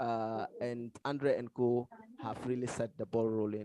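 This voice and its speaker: Dry and close with no echo, this man's voice has a dark, mellow tone. His pitch is medium and his pace moderate. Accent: non-native. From Ghana. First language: not English. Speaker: paper discussant. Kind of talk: conference paper review. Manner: halting, many fillers.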